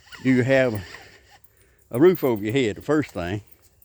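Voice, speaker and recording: Speaking with a Southern US accent at a moderate pace, a man of medium pitch uses ordinary pitch variation. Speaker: political commentator vlogger. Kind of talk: casual monologue.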